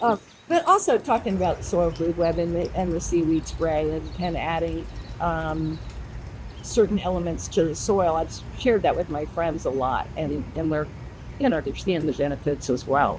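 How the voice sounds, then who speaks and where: Noticeable background noise fills the clip. A woman talks through it at a moderate pace. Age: 70s. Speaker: advisory board member. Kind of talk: interview. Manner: halting.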